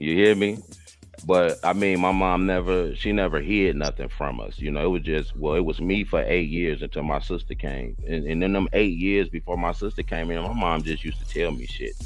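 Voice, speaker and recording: A man talks fairly quickly, and audible room echo follows his voice. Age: 40s. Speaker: podcast host. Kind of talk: casual chat.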